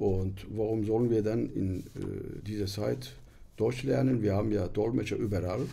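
A man's fairly low, dark and mellow voice with vocal fry, ordinary pitch variation and a fairly slow pace. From Turkey. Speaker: interpreter, publisher, author. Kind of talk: podcast interview answer. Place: studio. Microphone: studio mic.

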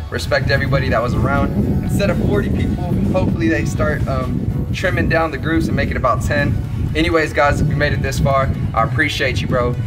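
Loud music plays in the background. Over it, a man speaks at a very fast pace. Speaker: travel vlogger. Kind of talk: casual vlog chat. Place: street.

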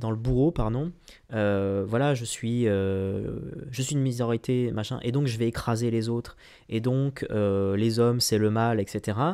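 A man talks at a fairly slow pace in a dark, mellow tone against a quiet background. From France, Lyon suburbs; France. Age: 20s. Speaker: business coach. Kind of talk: vlog monologue. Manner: halting, many fillers. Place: home room. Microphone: studio mic.

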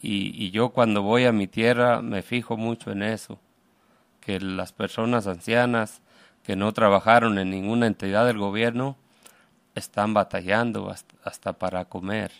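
At a fairly slow pace, a man speaks in a fairly low pitch with monotone, flat intonation. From Mexico, Aguascalientes (Calvillo). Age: 50s. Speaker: immigrant construction worker and activist. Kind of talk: radio interview. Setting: radio studio. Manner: halting.

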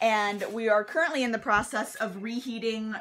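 Moderate-paced speech from a woman. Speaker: vlogger. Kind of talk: casual vlog chat. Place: kitchen. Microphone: phone near.

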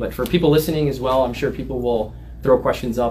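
Light background noise runs under a man's voice. He talks at a very fast pace with fairly even intonation. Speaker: lawyer giving a talk. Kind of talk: livestream discussion. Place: office. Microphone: camera far.

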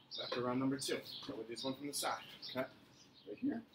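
Noticeable background noise behind a man's fairly quick pace. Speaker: fitness coach. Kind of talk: workout instruction. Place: garden. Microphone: camera far.

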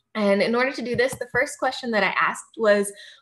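Against a quiet background, a woman with an American accent talks with lively intonation. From US Midwest, outside Kansas City, Missouri; Missouri. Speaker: neuroscience graduate student; presenter. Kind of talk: lecture. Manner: frequent filler words and hesitations.

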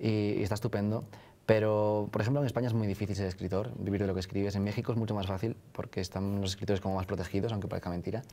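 A man's fairly low, dark, mellow voice, very fast and monotone with flat intonation. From northern Spain. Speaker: author; interviewee. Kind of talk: interview. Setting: live event at a university. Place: studio. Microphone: lapel.

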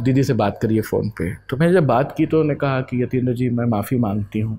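A man with a dark, mellow, somewhat breathy tone talks at a moderate pace and medium pitch, with ordinary pitch variation. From Ayodhya, Uttar Pradesh; Uttar Pradesh. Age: 40s. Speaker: poet and editor; poet. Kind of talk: interview. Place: home room. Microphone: lapel.

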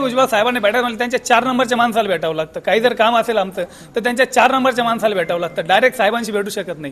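With noticeable background noise behind him, a man speaks in an extremely high pitch with ordinary pitch variation. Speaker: local villager. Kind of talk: street interview.

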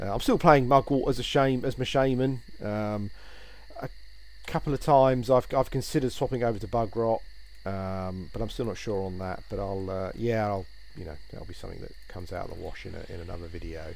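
A man speaks at a fairly quick pace with a British accent, his pitch in the medium range. His loudness swings widely while his pitch varies in an ordinary way. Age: 40s. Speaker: gaming YouTuber. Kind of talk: gameplay commentary. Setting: home recording while playing. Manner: hesitant, with frequent fillers and repetitions.

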